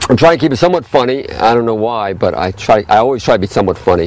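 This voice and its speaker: Over noticeable background noise, a man with a medium pitch talks very fast with lively intonation. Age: 60s. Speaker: health food store owner. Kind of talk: casual explainer talk. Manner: halting.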